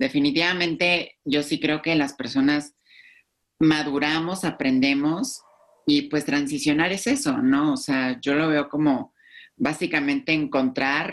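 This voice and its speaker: In a very clean recording with a silent background, a woman speaks at a fairly slow pace with a very deep, low pitch. Her loudness stays very even, and her pitch varies in an ordinary way. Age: 20s. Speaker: YouTube influencer. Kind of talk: podcast interview.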